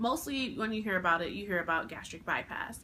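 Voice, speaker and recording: Bright and sharp in tone, a woman speaks with ordinary pitch variation in audible room echo. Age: 20s. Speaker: vlogger. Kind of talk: casual vlog talk.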